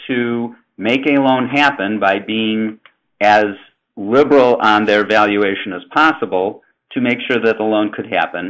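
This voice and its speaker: Male speech at a medium tempo, its pitch moving a normal amount, in a quiet setting. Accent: Chicago. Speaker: housing finance presenter. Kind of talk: webinar presentation. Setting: webinar. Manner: conversational, with fillers.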